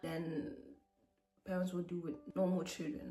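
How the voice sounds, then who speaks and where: A woman with a non-native accent talks at a moderate pace and a fairly low pitch. Noticeable background noise runs under her voice. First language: not English. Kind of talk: personal testimony. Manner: halting.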